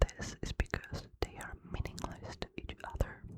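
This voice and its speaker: Whispering at a very slow pace. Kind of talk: ASMR sleep reading. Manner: whispered, soft-spoken.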